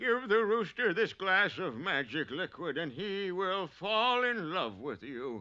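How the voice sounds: A man puts on a cartoonish character voice pitched high. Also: fairly slow pace, hardly any pauses.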